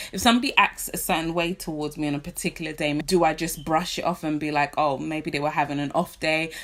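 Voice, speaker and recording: Speaking with a British accent, a woman talks at a very fast pace. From London, England. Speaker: vlogger. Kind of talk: casual talk to camera.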